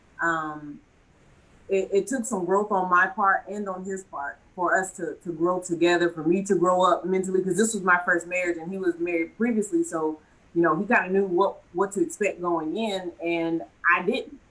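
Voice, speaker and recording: With noticeable background noise behind her, a woman speaks with fairly even intonation. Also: medium pitch for a woman, moderate pace. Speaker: panelist on talk show. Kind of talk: casual panel discussion. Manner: loud.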